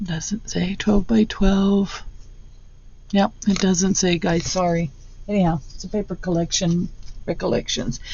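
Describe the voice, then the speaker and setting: Speaking at a medium pitch, a woman goes at a fairly slow pace with long, frequent pauses, a somewhat breathy voice and fairly even intonation. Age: 60s. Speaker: craft channel creator. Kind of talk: tutorial. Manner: casual, halting with restarts.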